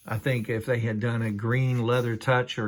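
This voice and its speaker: On a very clean recording with a silent background, a man speaks at a moderate pace in a medium pitch with monotone, flat intonation. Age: 60s. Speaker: Bible reviewer. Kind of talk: product review. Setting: at home in a trailer. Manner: casual, with frequent fillers.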